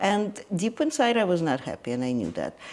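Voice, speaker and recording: Speaking at a moderate pace, a woman talks with a Russian accent. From Ukraine. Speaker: energy healer. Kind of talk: interview conversation. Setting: guest's home. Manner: hesitant, with fillers.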